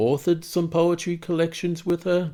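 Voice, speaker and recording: A man's high-pitched voice with an Australian accent, dark and mellow in tone, at a moderate pace on a very clean recording with a silent background. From east coast of Australia. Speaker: cartoonist. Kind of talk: casual monologue.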